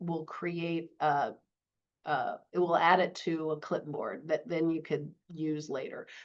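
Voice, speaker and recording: A woman's fairly low pitch at a very slow pace. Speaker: librarian and webinar instructor; webinar instructor. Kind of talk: webinar tutorial.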